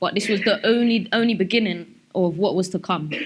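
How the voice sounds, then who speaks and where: In a South London accent, a woman speaks fairly quickly with ordinary pitch variation against a quiet background. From South London, England. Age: 20s. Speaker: speaker sharing life story. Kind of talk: personal testimony talk. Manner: halting, many fillers.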